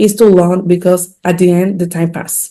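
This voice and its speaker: Here is a woman with a Dominican accent. Her tone is dark and mellow. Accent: non-native English, Dominican Spanish. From Dominican Republic. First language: Spanish. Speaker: physician and healthcare executive. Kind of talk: podcast interview.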